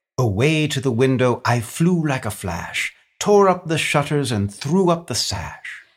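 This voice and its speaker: A theatrical, warm, somewhat breathy delivery with very wide pitch swings at a fairly slow pace, on a very clean recording with a silent background. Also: man, fairly high pitch for a man. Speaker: narrator. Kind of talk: dramatic narration of a Christmas poem, traded line by line with a co-reader. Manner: theatrical, warm storyteller's cadence with rhythmic, sing-song emphasis.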